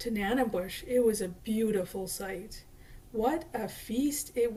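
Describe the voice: Ordinary pitch variation in plain reading aloud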